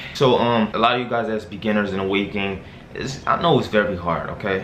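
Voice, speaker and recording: A man at a fairly quick pace with ordinary pitch variation, amid noticeable background noise and audible room echo. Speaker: YouTuber giving hair care tips. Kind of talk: casual vlog tutorial. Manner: casual, filler-heavy.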